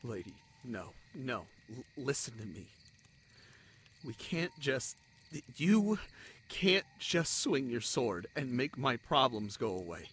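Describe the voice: Putting on a character voice, a man speaks slowly at a medium pitch with big pitch swings, a fairly bright tone and a slightly husky edge.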